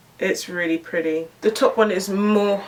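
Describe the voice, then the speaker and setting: A woman with a British accent at a fairly slow pace, over noticeable background noise. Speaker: beauty YouTuber. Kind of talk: makeup tutorial and review. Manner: animated.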